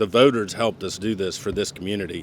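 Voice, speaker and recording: A man with a Southern US accent speaks at a fairly low pitch. He goes at a fairly quick pace with ordinary pitch variation. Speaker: board chair. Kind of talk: ceremony speech.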